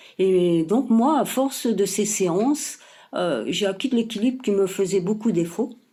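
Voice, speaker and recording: The woman's tone is dark and mellow. She speaks at a fairly slow pace with very even loudness. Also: medium pitch for a woman. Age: 60s. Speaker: fitness program member. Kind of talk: testimonial. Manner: hesitant, many fillers.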